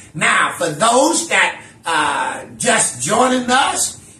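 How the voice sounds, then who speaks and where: A man speaks in a raised, projected voice. Room echo is audible. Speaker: minister teaching Bible study. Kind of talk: lecture. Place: home room. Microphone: camera far.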